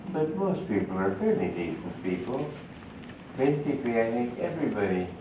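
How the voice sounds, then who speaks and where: Audible room echo and noticeable background noise surround a man's voice. He speaks at a moderate pace with lively intonation. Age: 80s+. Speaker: spiritual teacher. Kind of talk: spiritual talk to an audience. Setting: talk with live audience.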